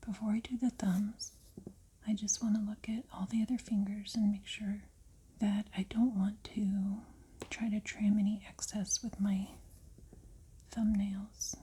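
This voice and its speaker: This soft-spoken voice has a calm tone and a fairly slow pace. Long pauses come often. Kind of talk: ASMR tutorial, soft-spoken narration. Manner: soft-spoken, calm, slow, quiet.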